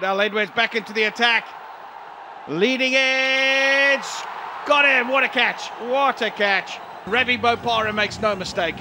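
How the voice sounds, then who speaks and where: Over noticeable background noise, a man with an extremely high pitch speaks in a raised, projected voice with ordinary pitch variation and long, frequent pauses. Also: moderate pace. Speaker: cricket commentator. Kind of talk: live sports commentary. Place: booth.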